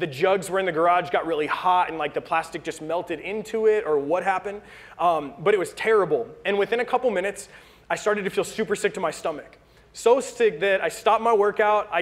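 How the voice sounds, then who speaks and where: A man with a high pitch talks at a very fast pace. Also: ordinary pitch variation. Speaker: pastor. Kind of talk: sermon. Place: church.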